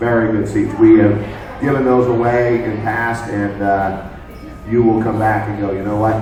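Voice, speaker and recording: Amid noticeable background noise and audible room echo, a man speaks at a moderate pace with a fairly low pitch and monotone, flat intonation. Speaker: sports radio and TV host. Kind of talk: live event talk show banter. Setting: sports bar with audience. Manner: loud, belting.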